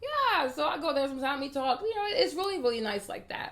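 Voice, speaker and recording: A woman talking very fast amid noticeable background noise. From Ivory Coast, later Washington DC. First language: French. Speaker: beauty vlogger. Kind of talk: casual vlog talk to camera. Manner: animated, repetitive emphasis.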